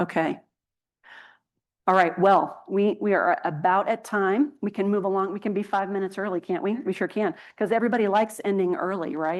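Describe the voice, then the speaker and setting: A woman talks at a fairly quick pace over a quiet background. Her pitch is medium and her intonation fairly even. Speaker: healthcare policy speaker. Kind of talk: conference presentation Q&A. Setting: conference stage with audience, streamed on Zoom. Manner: fast.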